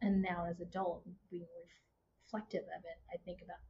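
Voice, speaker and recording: The pace of this woman's speech is moderate, and her pitch is medium. Her intonation is fairly even. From Houston, Texas. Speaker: marketing consultant and instructor. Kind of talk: casual interview conversation.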